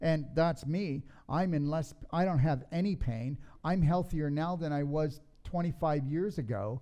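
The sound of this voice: This man's voice has a dark, mellow tone, sitting fairly high for a man, with ordinary pitch variation and a fairly slow pace.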